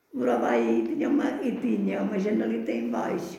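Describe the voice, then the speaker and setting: Her pitch swinging very widely, a woman speaks at a moderate pace amid audible room echo. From Portugal, Canas de Senhorim (Beira Alta). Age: 80s+. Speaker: grandmother sharing life memories. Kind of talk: oral history interview. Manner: halting, repetitive.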